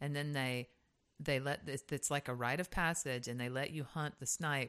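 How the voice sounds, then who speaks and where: A woman with a Southern US accent speaks at a moderate pace in a very deep, low pitch. The recording is very clean, with a silent background. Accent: Southern US (Georgia). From US South (Hazlehurst, Georgia). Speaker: podcast co-host, singer. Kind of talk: casual chat.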